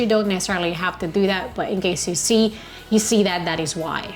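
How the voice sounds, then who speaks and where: There is noticeable background noise behind this woman. She talks at a medium pitch with ordinary pitch variation. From Philippines. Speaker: travel vlogger. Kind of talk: travel tips talk. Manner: loud.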